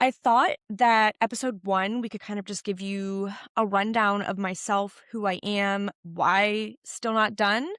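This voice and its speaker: Recorded very cleanly against a silent background, a woman's fairly high voice sounds dry and close with no echo. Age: 30s. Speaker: podcast host and fitness apparel business owner. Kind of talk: casual solo podcast talk. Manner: fast; filler words like and um.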